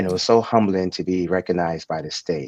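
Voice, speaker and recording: A man with a New York accent speaks at a fairly quick pace in a very deep, low voice, his intonation fairly even and the sound dry and close with no echo. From Brooklyn, New York. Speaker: transit company executive. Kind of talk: interview.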